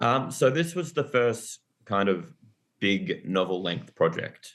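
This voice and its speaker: A man with an Australian accent speaks at a very slow pace, his pitch in the medium range. His pitch swings very widely, and the background is quiet. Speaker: author and teacher. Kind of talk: interview.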